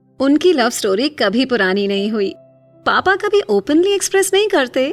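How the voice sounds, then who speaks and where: Music plays in the background. A woman speaks high, with very wide pitch swings. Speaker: voice-over artist. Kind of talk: emotional diary-style story narration. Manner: soft, emotional.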